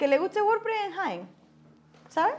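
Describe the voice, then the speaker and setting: A woman's voice with very wide pitch swings. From Andalusia, Spain (Osuna, Seville). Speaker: WordPress community manager. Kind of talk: podcast interview. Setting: recording in a palace venue with background noise.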